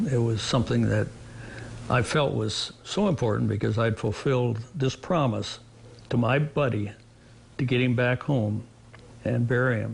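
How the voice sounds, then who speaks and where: A man speaks at a moderate pace and medium pitch with vocal fry, ordinary pitch variation and long, frequent pauses. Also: very even loudness. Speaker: Vietnam war veteran, retired fighter pilot. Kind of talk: interview testimony. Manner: halting, with repeated words and fillers.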